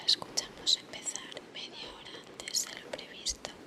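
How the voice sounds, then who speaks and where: A woman whispering at a fairly slow pace amid noticeable background noise. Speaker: ASMR YouTuber. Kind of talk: casual vlog talk to camera. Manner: whispered, soft-spoken.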